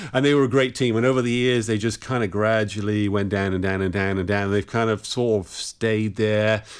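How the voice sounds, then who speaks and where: A man with an English accent talks at a fairly quick pace, with hardly any pauses and fairly even intonation. His pitch is fairly low, and the recording is very clean with a silent background. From England. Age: 50s. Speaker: rock musician and guitarist. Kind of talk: interview.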